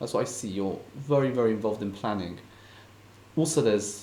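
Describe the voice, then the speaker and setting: A man talks at a fairly quick pace in a medium-pitched voice with ordinary pitch variation. Audible room echo surrounds him. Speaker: podcast host. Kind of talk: interview. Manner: stutters a bit.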